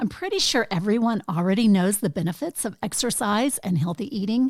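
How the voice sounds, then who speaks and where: Using a normal speaking voice, a woman of medium pitch talks at a fairly quick pace with lively intonation. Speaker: podcast host. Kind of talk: interview question.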